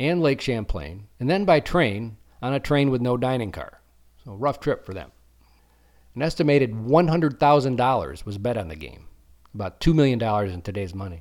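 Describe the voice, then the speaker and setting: With a plain, everyday voice and an American accent, a man of medium pitch talks at a fairly quick pace with lively intonation and big swings in loudness, in a very clean recording with a silent background. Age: 50s. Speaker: podcast host. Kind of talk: scripted monologue.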